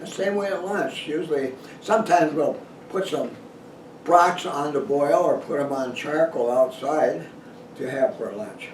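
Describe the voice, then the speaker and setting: The speech comes at a fairly slow pace with lively intonation, amid noticeable background noise and audible room echo. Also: man, fairly high pitch for a man. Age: 80s+. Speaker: retired dentist and outdoor writer. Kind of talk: casual talk to camera. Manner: halting.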